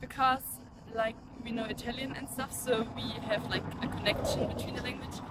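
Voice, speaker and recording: A high-pitched woman's voice with a German accent, fairly quick yet broken by long, frequent pauses, in a monotone, flat intonation over noticeable background noise. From southern Germany. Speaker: passer-by interviewee. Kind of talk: street interview.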